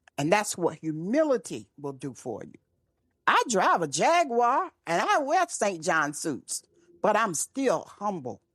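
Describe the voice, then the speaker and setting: With an American accent, a woman at a medium pitch talks at a fairly slow pace, her pitch swinging very widely and her loudness rising and falling sharply, with vocal fry, a dry, close sound with no echo and a quiet background. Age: 70s. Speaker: speaker and author. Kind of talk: interview. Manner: animated.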